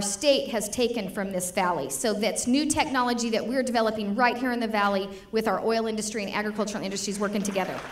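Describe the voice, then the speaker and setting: Amid noticeable background noise and audible room echo, a woman speaks very fast at a fairly high pitch with ordinary pitch variation. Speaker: state legislator. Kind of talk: political speech. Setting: stage with audience at dinner. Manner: animated.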